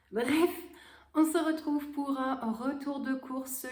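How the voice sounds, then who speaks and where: Audible room echo follows a woman who speaks very slowly with fairly even intonation. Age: 30s. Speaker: vlogger. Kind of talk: casual haul vlog.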